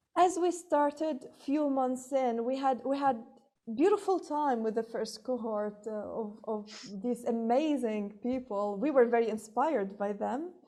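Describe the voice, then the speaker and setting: A woman's high-pitched voice with lively intonation at a fairly slow pace, over noticeable background noise. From Libya. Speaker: entrepreneur and public speaking coach. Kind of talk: casual interview.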